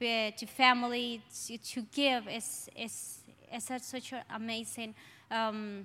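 A woman with a strong Colombian accent speaks at a very slow pace in a bright, sharp tone, her fairly high pitch held in monotone, flat intonation. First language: Spanish. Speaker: church member. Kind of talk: testimony. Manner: halting.

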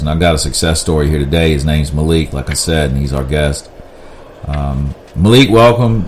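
A man with a Virginia accent and a very deep, low pitch speaks at a moderate pace over noticeable background noise. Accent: Southern US (Virginia). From US South, rural southern Virginia. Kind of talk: casual interview chat.

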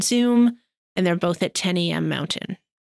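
A woman with a Canadian accent uses an ordinary speaking voice, fairly low in pitch. The recording is very clean with a silent background, and the sound is dry and close with no echo. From Canada, Calgary. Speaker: philanthropy advisor. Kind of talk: interview.

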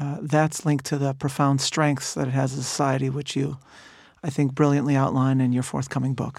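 A plain, everyday voice with an American accent and fairly even intonation, on a very clean recording with a silent background. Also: man. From Chicago, US Midwest. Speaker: rabbi and author. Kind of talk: interview conversation. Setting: studio, in person.

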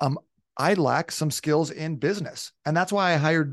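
In an ordinary speaking voice, a man talks at a moderate pace with ordinary pitch variation, recorded with a dry, close sound with no echo against a quiet background. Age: 30s. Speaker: fitness coach. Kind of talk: casual chat.

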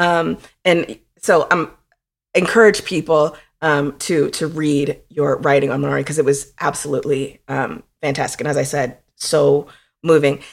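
A woman speaks at a very deep, low pitch with vocal fry and ordinary pitch variation. Her moderate pace comes through a very clean recording with a silent background. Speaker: podcast co-host. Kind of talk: casual chat. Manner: animated.

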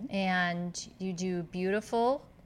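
A woman's normal speaking voice, fairly low in pitch with ordinary pitch variation, comes through on a very clean recording with a silent background. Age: 50s. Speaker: podcast host. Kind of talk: casual interview.

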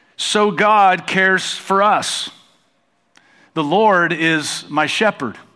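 In an American accent, a man speaks with a high pitch, ordinary pitch variation and a bright, sharp tone. His pace is very slow, and room echo is audible. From United States. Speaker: pastor. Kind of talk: sermon. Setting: church stage with congregation.

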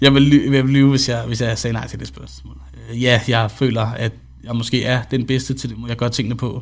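A man with a medium pitch speaks in a monotone, flat intonation while his loudness swings a lot. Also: moderate pace. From Denmark, Vallensbæk (Copenhagen area). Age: 20s. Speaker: esports coach. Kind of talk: podcast interview.

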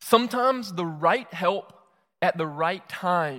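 The recording is very clean and the background silent. A Southern US accent comes through in the speech. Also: man. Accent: Southern US (Georgia). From US South, South Georgia (Moultrie). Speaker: pastor. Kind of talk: sermon. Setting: church.

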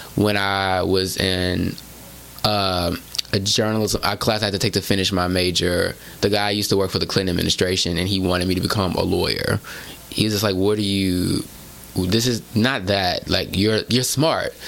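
A man with an American accent speaks at a moderate pace and fairly low pitch, with fairly even intonation and very even loudness. Noticeable background noise sits behind him. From Houston, Texas. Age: 30s. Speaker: journalist and author. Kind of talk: casual chat.

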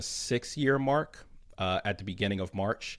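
The recording is very clean, with a silent background. A man speaks in a fairly low pitch with ordinary pitch variation. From Philadelphia. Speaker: podcast co-host, social media director. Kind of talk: casual interview.

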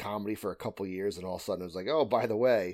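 On a very clean recording against total silence, a man speaks with an American accent. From Connecticut, US Northeast. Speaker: stand-up comedian and truck driver. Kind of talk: interview.

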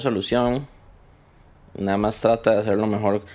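A man with a Costa Rican accent talks at a fairly quick pace. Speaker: podcast editor sharing mental health experience. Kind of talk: personal testimony in interview. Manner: halting, with repetitions.

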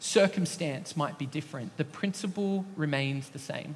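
A man with an Australian accent talks at a fairly slow pace on a very clean recording with a silent background. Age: 30s. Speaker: associate pastor. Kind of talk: sermon. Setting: church.

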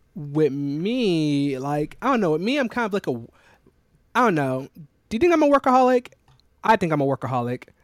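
Recorded very cleanly against a silent background with a dry, close sound and no echo, a man with an American accent speaks in a fairly high pitch with very wide pitch swings. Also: moderate pace. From South Carolina. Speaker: podcast co-host, software developer. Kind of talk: casual chat.

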